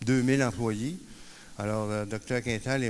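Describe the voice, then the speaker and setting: A man speaks at a moderate pace with fairly even intonation. Audible room echo fills the recording. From Quebec. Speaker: peer support worker. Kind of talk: conference talk. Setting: conference stage with audience. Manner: hesitant, many fillers.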